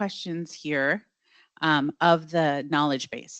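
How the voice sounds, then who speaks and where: A woman is heard with a dry, close sound with no echo over a quiet background. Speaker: data platform presenter. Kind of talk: product demo presentation. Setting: launch event with live audience. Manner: fast.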